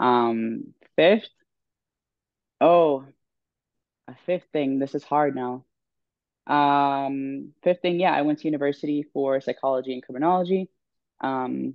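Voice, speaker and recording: Her voice very deep and low, a woman talks at a fairly slow pace with long, frequent pauses. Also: ordinary pitch variation. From Sweden, Stockholm. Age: 20s. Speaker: professional bodybuilder. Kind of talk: podcast interview. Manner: hesitant, many fillers.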